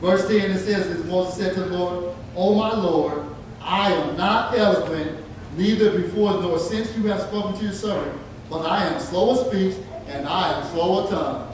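A man's high-pitched voice with strong room echo and light background noise. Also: moderate pace. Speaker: preacher. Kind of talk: sermon. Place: church.

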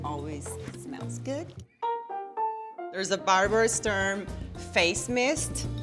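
A woman's voice over clear music in the background. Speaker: guest. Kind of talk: casual interview answer showing bag contents. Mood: relaxed, cheerful, laughing. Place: home room.

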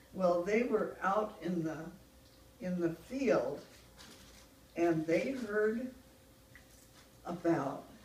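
Noticeable background noise surrounds a woman talking at a very slow pace with long, frequent pauses. Her medium pitch carries lively intonation. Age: 80s+. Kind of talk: storytelling to family. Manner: slow, hesitant.

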